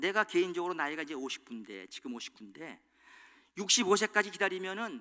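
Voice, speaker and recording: Speaking at a very fast pace, a man uses a high pitch, lively intonation and a bright, sharp tone. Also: big swings in loudness. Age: 60s. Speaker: pastor. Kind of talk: sermon.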